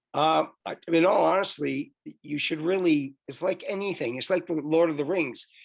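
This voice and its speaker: Hardly pausing, a man with a fairly high pitch speaks at a moderate pace with ordinary pitch variation. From Canada. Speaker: author. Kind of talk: interview. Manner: halting.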